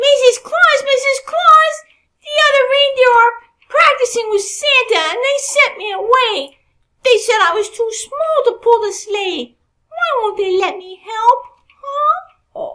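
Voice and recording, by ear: A put-on character voice at an extremely high pitch and a fairly slow pace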